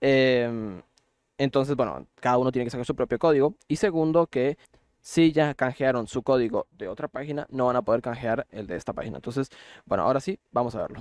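The sound is dry and close with no echo, against a quiet background. A man speaks at medium pitch. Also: ordinary pitch variation, fairly quick pace. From Costa Rica. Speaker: gaming YouTuber. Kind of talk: tutorial. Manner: hesitant, many fillers.

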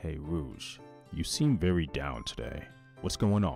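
Over clear background music, a man puts on a character voice with a very deep, low pitch. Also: fairly slow pace. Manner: gentle, concerned.

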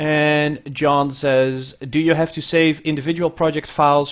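Over a quiet background, a man talks at a fairly high pitch in a monotone, flat intonation. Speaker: audio education specialist and webinar co-host; webinar co-host. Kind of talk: webinar hosting and instructions. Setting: video call. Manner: hesitant with many fillers. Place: office. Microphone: earbuds.

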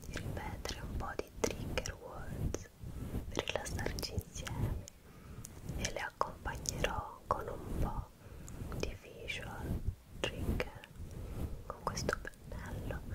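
Whispering from a woman, very slow, broken by long, frequent pauses. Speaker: ASMR creator. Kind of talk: ASMR trigger words video. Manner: whispered, soft-spoken. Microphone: studio mic.

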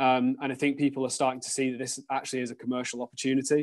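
A man speaks with a British accent at a medium pitch. His intonation is monotone and flat, over a quiet background. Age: 30s. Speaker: sustainability executive at an investment firm. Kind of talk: interview. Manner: halting, with frequent repetitions and fillers.

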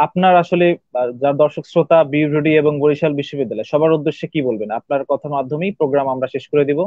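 Against a quiet background, a man speaks with a fairly high pitch and fairly even intonation. The sound is dry, with no echo. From Bangladesh. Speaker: university radio host. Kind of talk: live radio interview. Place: home room. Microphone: video call.

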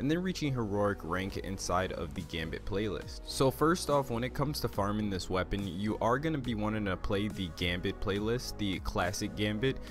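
With music in the background, the speaker moves at a fairly quick pace through very wide pitch swings. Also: man. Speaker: gaming video creator. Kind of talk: gaming guide narration. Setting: low recording volume.

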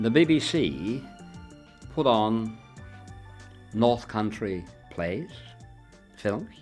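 The voice swings very widely in pitch and moves at a very slow pace, with long, frequent pauses. Faint music plays in the background. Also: man. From Wigan, Lancashire. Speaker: dialect speaker. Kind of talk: reminiscing talk. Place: home room.

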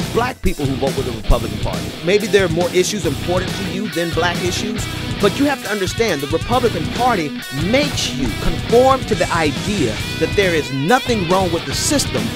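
A man speaks fairly briskly as clear music plays behind him. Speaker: talk radio / podcast host. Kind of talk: political commentary rant, talk radio style. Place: studio. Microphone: studio mic.

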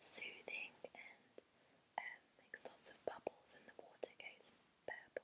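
Whispering from a woman. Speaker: vlogger. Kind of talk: casual haul vlog chat. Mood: warm, enthusiastic. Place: home room. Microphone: earbuds.

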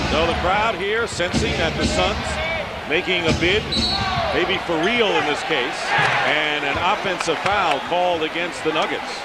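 At a fairly slow speed, this man talks while loud background noise fills the recording. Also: ordinary pitch variation, dry sound with no echo. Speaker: play-by-play announcer. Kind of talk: commentary. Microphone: headset.

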